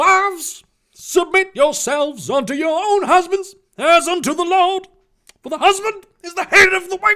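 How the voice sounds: A man puts on a character voice at an extremely high pitch, bright and sharp in tone. He goes at a fairly slow pace with lively intonation.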